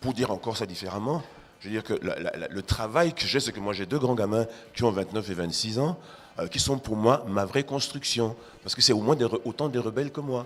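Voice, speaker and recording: A man at medium pitch and a fairly quick pace, with ordinary pitch variation. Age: 60s. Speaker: art critic and writer. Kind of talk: panel discussion. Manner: animated.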